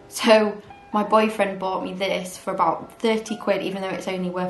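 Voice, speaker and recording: Over music in the background and audible room echo, the voice moves at a fairly quick pace with monotone, flat intonation. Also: woman. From northern England, Manchester. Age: 20s. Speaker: medical student and beauty vlogger. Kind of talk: casual chatty get-ready-with-me Q&A. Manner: chatty, informal.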